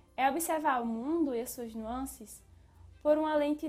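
Over music in the background, a woman speaks at a high pitch and a fairly slow pace. Her pitch varies in an ordinary way. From Brazilian Northeast. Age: 20s. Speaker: podcast host and philosophy student.

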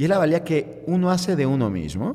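With vocal fry and very wide pitch swings, a man talks at a moderate pace and a fairly high pitch. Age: 30s. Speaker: sports psychologist and coach. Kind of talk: interview, expert advice.

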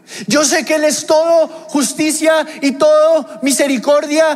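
Someone talks at a very slow pace amid noticeable background noise and audible room echo. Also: man. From Mexico. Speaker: pastor. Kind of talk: sermon.

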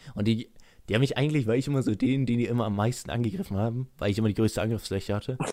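Speaking at a very fast pace, a man with medium pitch and a dark, mellow tone comes through on a very clean recording with a silent background. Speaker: YouTuber and podcast co-host. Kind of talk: casual chat. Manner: monotone.

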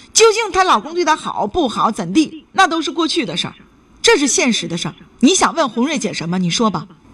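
A woman's high voice moves at a fairly quick pace through very wide pitch swings, over noticeable background noise. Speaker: radio call-in advice host. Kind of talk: call-in radio advice. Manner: animated.

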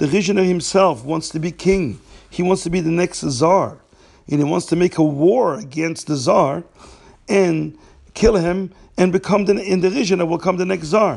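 His high-pitched voice has ordinary pitch variation as the man speaks at a moderate pace. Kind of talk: storytelling.

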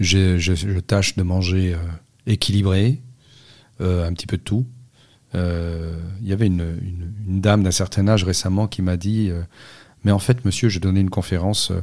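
A man's very deep, low voice at a moderate pace, with fairly even intonation and long, frequent pauses. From Corsica. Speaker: nutrition scientist. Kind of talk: interview. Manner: halting.

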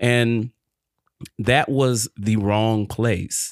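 A man speaks at a medium pitch with ordinary pitch variation. The sound is dry and close with no echo, a very clean recording with a silent background. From Detroit, Michigan. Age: young. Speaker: podcast guest, small business owner. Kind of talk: faith-based interview, personal testimony.

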